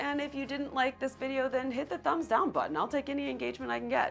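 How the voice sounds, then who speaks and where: Music plays in the background as a woman with an American accent speaks at a fairly quick pace, her high voice making very wide pitch swings. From Florida. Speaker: realtor. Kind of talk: vlog talk to camera.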